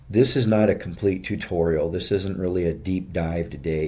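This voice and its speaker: A man's very deep, low voice with a dark, mellow tone, moderate pace and audible room echo. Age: 60s. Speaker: fitness video creator. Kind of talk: workout tutorial. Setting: hotel gym. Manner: casual, conversational.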